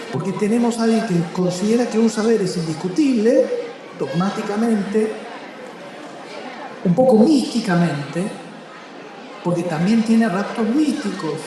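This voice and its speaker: Speaking at a fairly slow pace, a man with a high pitch leaves long, frequent pauses and uses lively intonation. Noticeable background noise and audible room echo fill the recording. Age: 50s. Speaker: writer. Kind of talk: public interview at a book festival.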